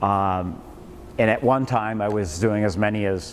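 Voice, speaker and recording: Heard with audible room echo, a man talks at a fairly low pitch with fairly even intonation. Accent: American. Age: 70s. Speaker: financial educator. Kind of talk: lecture. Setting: classroom with live audience. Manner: loud; halting.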